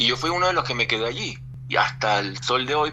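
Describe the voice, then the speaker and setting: A man speaks over noticeable background noise. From Venezuela. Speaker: voice actor. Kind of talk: interview answer. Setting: radio studio.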